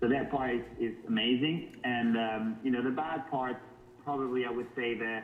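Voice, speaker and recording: A man speaks at a moderate pace and medium pitch with fairly even intonation. Music plays in the background and the room echo is audible. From northern Portugal. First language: Portuguese. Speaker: model. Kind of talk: interview. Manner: halting.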